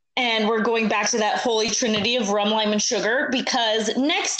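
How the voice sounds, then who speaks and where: Audible room echo and noticeable background noise around speech with ordinary pitch variation. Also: woman. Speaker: podcast co-host. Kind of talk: casual chat.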